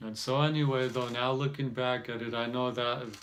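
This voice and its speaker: Medium-pitched man in a monotone, flat delivery, with noticeable background noise and audible room echo. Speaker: self-help vlogger. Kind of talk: casual monologue. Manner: slow; halting.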